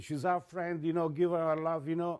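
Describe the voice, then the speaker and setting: Here is a man with an Italian accent and a fairly high pitch. His tone is dark and mellow. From Italy. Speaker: photographer and music journalist. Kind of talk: interview storytelling. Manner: halting; animated.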